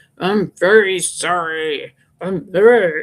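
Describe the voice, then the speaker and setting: A put-on character voice at a middle pitch and a very slow pace. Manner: apologetic.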